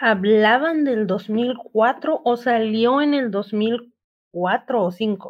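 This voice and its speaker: With ordinary pitch variation, the woman's voice stays at a fairly high pitch. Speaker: podcast guest. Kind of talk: casual chat.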